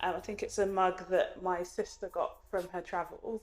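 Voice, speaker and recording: A woman's voice with music in the background. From London, Hackney, with later schooling in Nigeria. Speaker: YouTuber and doctor. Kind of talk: casual vlog talk to camera. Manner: fast.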